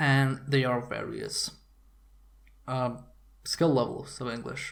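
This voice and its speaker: Heard with audible room echo, a man with a Serbian accent speaks at medium pitch. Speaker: video game commentator. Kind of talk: video blog monologue. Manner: casual, hesitant with fillers.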